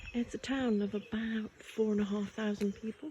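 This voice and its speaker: Soft-spoken, the speaker moves at a moderate pace. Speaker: local history vlogger. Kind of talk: casual walking vlog narration.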